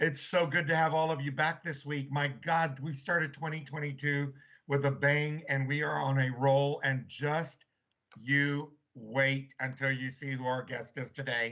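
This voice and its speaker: Over a quiet background, a man speaks fairly slowly in a bright, sharp, fairly high voice with monotone, flat intonation. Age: 60s. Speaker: talk show host. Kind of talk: casual chat.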